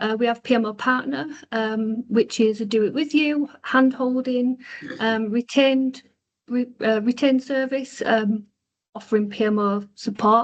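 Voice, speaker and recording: In a Yorkshire accent, a woman speaks at a moderate pace. Her pitch is fairly high and her intonation fairly even. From Yorkshire, Bradford. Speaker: consultancy co-founder, webinar host. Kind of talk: webinar presentation. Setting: online webinar. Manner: hesitant, many fillers.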